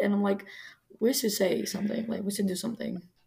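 The speaker is a woman. She has a Greek accent. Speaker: guest co-host, college friend. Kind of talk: casual chat. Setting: video call.

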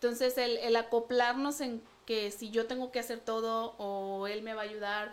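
Monotone and flat, a woman speaks at a fairly slow pace with a fairly high pitch. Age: 30s. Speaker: pastor's daughter, wife. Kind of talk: casual chat.

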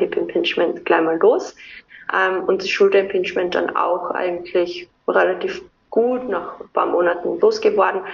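An Austrian accent at a moderate pace. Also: woman. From southern Austria (Carinthia). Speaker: movement and breathing coach. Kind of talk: interview.

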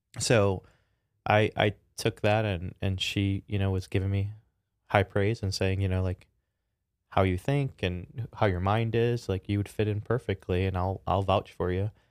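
A man with a Chicago accent speaks at a moderate pace in a fairly low, flat monotone, recorded dry and close with no echo in a very clean, silent setting. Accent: Chicago American. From Chicago, US Midwest. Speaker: tech startup founder and CEO, former NASA engineer. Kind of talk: casual interview.

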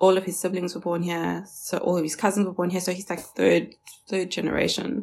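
The voice carries vocal fry. Its pace is moderate. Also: woman. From South Africa, Johannesburg. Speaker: podcast guest. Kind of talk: casual chat. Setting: video call.

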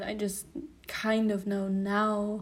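This is a woman's voice. She speaks with a non-native accent. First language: not English. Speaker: podcast host. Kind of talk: casual monologue. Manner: hesitant, many fillers.

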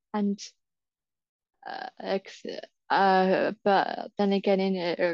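At a very slow pace, a woman speaks at a medium pitch with little pitch movement, the sound dry and close with no echo.

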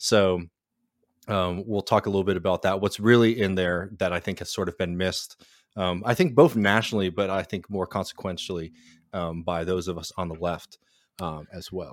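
A man speaks in a very deep, low pitch at a moderate pace, his intonation fairly even. The recording is very clean, with a silent background. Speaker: podcast co-host. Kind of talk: casual political discussion and interview.

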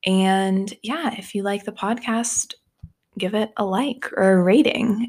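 A woman with an unremarkable speaking voice talks fairly slowly, her medium pitch showing ordinary variation. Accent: American. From Texas. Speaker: podcast host. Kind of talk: podcast intro and outro; casual interview.

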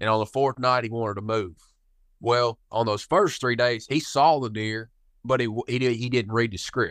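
A man with a Kentucky accent speaks at a moderate pace in a medium pitch. His intonation is fairly even, against a quiet background. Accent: Kentucky Southern US. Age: 20s. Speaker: hunting outfitter and guide. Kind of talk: casual interview chat.

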